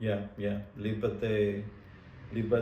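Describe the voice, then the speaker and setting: Audible room echo surrounds a man who speaks in a Spanish accent at a very slow pace and a fairly low pitch. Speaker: martial arts instructor. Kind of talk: interview.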